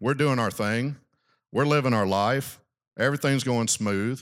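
In a very clean recording with a silent background, a man with a Southern US accent talks at a fairly slow pace. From US South, South Arkansas. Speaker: ministry regional director. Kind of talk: talk at a men's retreat. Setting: stage with audience.

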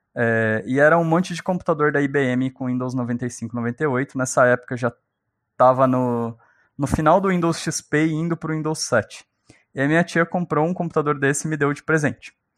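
Here a man talks in a normal speaking voice, fairly high in pitch, at a moderate pace with ordinary pitch variation. The recording is very clean, with a silent background and a dry, close sound with no echo. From Brazil, São Paulo state (born in Minas Gerais). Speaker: software engineer. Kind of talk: casual interview chat.

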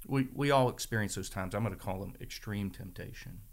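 This man has a normal speaking voice with an American accent. His pitch is fairly low, with ordinary variation. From northern Virginia, Shenandoah Valley. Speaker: church member sharing his story. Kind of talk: testimony.

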